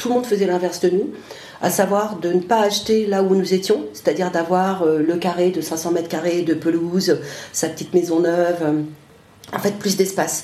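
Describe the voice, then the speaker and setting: A woman with a fairly low pitch speaks at a moderate pace with fairly even intonation. Noticeable background noise and audible room echo are present. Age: 50s. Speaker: interviewee, parent. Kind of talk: interview.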